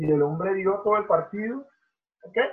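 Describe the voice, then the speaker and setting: This man talks at a moderate pace in a high voice. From Venezuela, Barinas. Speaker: professional volleyball player. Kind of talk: casual interview.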